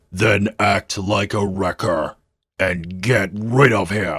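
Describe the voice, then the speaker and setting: A man growls in a put-on character voice, fairly low in pitch and menacing in tone, at a very slow pace. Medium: fan dub.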